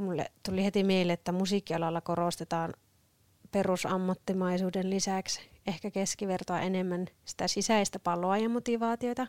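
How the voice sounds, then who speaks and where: A woman with a plain, everyday voice speaks at a moderate pace in a dry, close sound with no echo. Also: medium pitch for a woman, fairly even intonation. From Northern Ostrobothnia, Finland (Sievi). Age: 20s. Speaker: podcast co-host, church musician. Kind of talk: casual chat.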